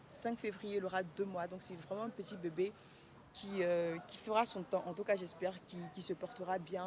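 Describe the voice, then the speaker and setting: Noticeable background noise sits under a woman's voice. She talks at a fairly quick pace in a medium pitch. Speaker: vlogger and clothing brand founder. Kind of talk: casual vlog talk to camera. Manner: fast.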